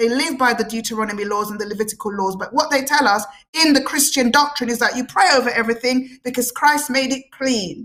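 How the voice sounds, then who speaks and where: A woman's high-pitched voice at a very fast pace, passionate and animated in tone, with ordinary pitch variation. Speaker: guest speaker on Afrocentric and spiritual topics. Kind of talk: radio talk show interview. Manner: passionate, animated.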